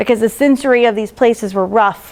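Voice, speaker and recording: A woman speaks at a high pitch. Her pitch variation is ordinary. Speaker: school district transition specialist. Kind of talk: presentation to parents. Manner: fast.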